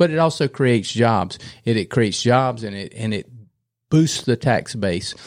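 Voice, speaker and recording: A man with a North Carolina accent speaks at a medium pitch and a moderate pace. His intonation is lively, and the recording is very clean with a silent background. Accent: Southern US (North Carolina). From North Carolina, Gaston County. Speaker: retired state trooper, political candidate. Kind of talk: casual chat interview.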